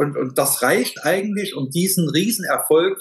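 Talking at a moderate pace, a man shows ordinary pitch variation. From Saarland, Germany. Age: 50s. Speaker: master tradesman, heating and plumbing; client. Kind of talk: interview testimony.

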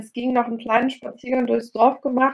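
This woman's voice sits at a high pitch. She talks at a fairly quick pace. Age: 30s. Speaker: personal trainer. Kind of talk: interview. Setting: video call. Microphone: poorer audio over video call.

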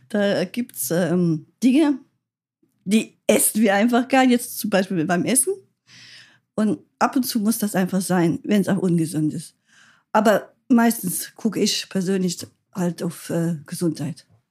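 A woman with a somewhat breathy, dark, mellow tone speaks at a fairly slow pace with long, frequent pauses in a very clean recording over a silent background. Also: medium pitch for a woman, lively intonation. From rural Germany. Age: 60s. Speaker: grandmother. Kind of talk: casual chat.

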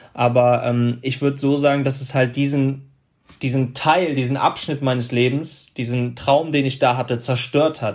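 In a medium pitch and monotone, flat intonation, a man speaks at a moderate pace. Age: 30s. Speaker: former pro footballer and motivational speaker. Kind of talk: interview.

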